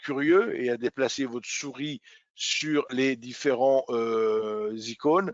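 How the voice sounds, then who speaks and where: A man talks at a medium pitch. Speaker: trading educator. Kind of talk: webinar tutorial. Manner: hesitant with fillers.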